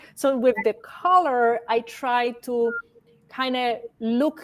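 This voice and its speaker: Fairly even intonation with a strong non-native accent. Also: woman. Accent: strong foreign. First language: not English. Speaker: fashion stylist. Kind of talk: casual interview chat. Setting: livestream video call. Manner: can sound stern, halting.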